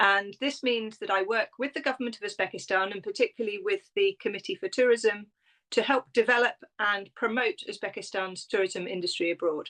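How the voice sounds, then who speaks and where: In a British accent, a woman talks at a fairly quick pace with lively intonation, a fairly high pitch and a bright, sharp tone, in a dry, close sound with no echo. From Britain. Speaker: tourism consultant and travel writer. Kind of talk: interview.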